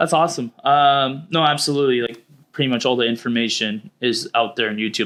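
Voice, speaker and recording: A man with an unremarkable speaking voice talks at a fairly quick pace and medium pitch. The recording is very clean, the background silent. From Canada. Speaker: realtor and podcast host. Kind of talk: casual chat.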